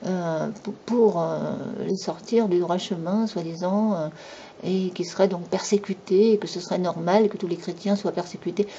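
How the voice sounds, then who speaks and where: A woman speaks at a medium pitch and a fairly slow pace. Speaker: YouTube commentator. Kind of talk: monologue commentary. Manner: animated.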